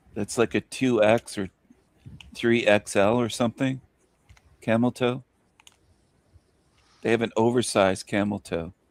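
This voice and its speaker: With long, frequent pauses, a man speaks at a moderate pace and medium pitch in a dry, close sound with no echo. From rural Canada. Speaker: livestream host. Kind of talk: casual chat. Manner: joking, animated.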